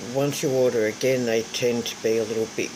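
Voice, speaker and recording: With an Australian accent, a woman speaks at a very deep, low pitch against noticeable background noise. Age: 60s. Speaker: craft vlogger. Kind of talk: casual vlog talk.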